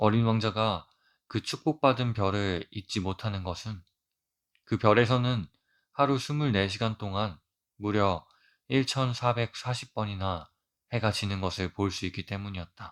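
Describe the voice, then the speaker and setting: Long, frequent pauses in a man's fairly slow, fairly low-pitched speech, pitch varying in an ordinary way. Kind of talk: audiobook reading for sleep.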